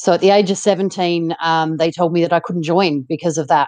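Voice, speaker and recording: Here a woman speaks with an Australian accent. She moves at a fairly quick pace. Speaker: ultramarathon runner and author. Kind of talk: interview.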